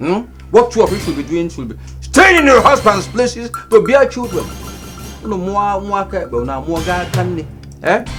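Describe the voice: A man's high-pitched, put-on character voice with a fairly bright tone, big pitch swings and a fairly slow pace, faint music in the background.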